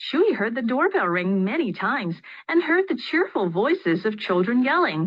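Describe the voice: Someone reads a text. It is plain reading aloud.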